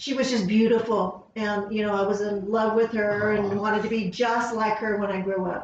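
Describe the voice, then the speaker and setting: A woman's fairly high voice in an American accent at a moderate pace, with audible room echo and noticeable background noise. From Southern California. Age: 60s. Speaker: school district administrator. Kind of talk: casual interview.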